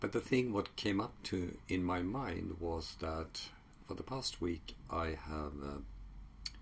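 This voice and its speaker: Very deep, low pitch from a man with a Swedish accent and vocal fry, at a very slow pace. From Sweden. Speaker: psychology researcher. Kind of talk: casual talk to camera. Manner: halting, many fillers.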